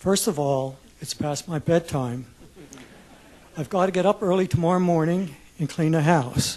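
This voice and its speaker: A man's high-pitched voice at a moderate pace, with ordinary pitch variation and long, frequent pauses. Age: 70s. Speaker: retiree, public commenter. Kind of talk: public testimony. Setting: public hearing room with audience.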